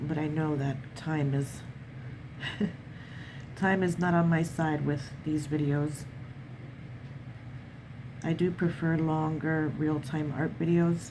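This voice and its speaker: Very slowly, with long, frequent pauses, a woman speaks in a very deep, low, somewhat breathy voice, her intonation monotone and flat and her loudness very even. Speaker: watercolor artist. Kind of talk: art tutorial narration.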